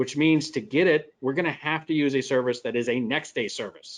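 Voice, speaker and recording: A man with a Midwestern American accent talks at a moderate pace and a fairly high pitch. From US Midwest. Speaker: software company presenter. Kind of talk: webinar Q&A explanation.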